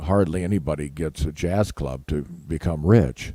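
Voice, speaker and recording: A man's dark, mellow tone moves at a moderate speed. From US Pacific Northwest, Seattle. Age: 70s. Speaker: jazz musician. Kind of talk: interview. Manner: halting.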